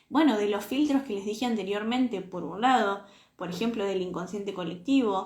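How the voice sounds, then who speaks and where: Somewhat breathy and animated in tone, the voice has ordinary pitch variation. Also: woman. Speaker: self-knowledge coach. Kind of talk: live stream talk.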